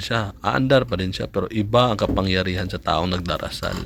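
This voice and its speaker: A man's normal speaking voice, fairly low in pitch, with lively intonation and a fairly quick pace. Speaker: amulet maker and vlogger. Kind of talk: tutorial. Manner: casual.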